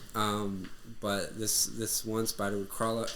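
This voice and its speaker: A man talks with an American accent in a fairly low pitch. Room echo is audible. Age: 20s. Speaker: podcast guest. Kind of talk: casual chat.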